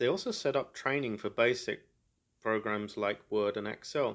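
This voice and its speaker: The speaker has an English accent. The background is quiet. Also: man. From England. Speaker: podcaster. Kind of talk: solo monologue. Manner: monotone.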